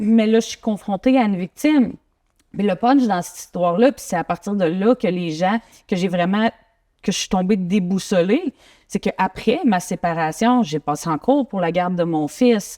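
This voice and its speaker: The voice has a dark, mellow tone and ordinary pitch variation, moving at a moderate pace on a very clean recording with a silent background. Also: woman, medium pitch for a woman. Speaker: guest sharing personal story. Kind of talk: interview testimony.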